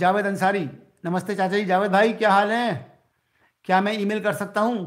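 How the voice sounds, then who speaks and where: Against a quiet background, the intonation is monotone and flat. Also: man. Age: 60s. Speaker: YouTuber and cashier; YouTuber. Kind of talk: live stream chat with viewers. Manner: conversational, reads viewer comments aloud. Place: home room. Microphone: phone near.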